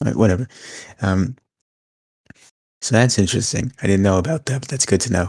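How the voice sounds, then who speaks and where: On a very clean recording with a silent background and a dry, close sound without echo, a somewhat breathy man speaks at a fairly quick pace with ordinary pitch variation and long, frequent pauses. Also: fairly low pitch for a man. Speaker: wrestling podcast co-host. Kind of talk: casual chat.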